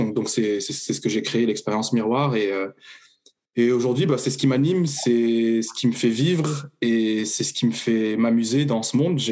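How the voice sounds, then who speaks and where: A man's plain, everyday voice at medium pitch, with ordinary pitch variation and a fairly slow pace. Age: 30s. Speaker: coach offering personal development sessions. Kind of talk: casual interview. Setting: podcast recording.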